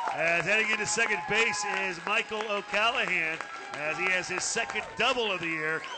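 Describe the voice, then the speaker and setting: Against crowd noise in the background, a man uses a raised, projected voice at a high pitch. He keeps a moderate pace with ordinary pitch variation. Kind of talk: live baseball play-by-play commentary.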